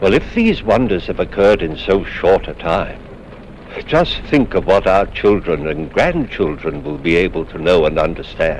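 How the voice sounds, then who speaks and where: At a moderate pace, a man speaks as noticeable background noise lingers behind him. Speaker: actor. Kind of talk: horror anthology host introduction.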